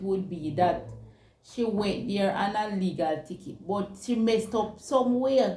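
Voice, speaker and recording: At a fairly slow pace, a woman speaks at medium pitch with vocal fry and a dark, mellow tone. Room echo is audible. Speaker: talk show co-host. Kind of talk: casual chat.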